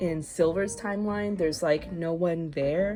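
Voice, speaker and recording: Music plays behind a woman speaking quietly at a medium pitch. She talks at a fairly slow pace with ordinary pitch variation. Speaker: digital artist. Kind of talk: casual commentary over speedpaint. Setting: home recording, low-quality microphone.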